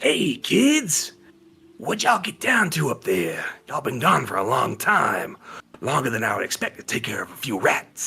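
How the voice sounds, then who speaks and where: Putting on a character voice, a man speaks raspy and fairly high at a moderate pace, with very wide pitch swings. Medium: actual play. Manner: casual, warm.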